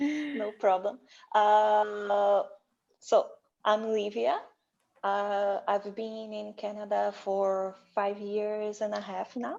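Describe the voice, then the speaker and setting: Speaking with a Portuguese accent, a woman talks at a very slow pace. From Brazil. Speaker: IT analyst. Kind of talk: panel discussion.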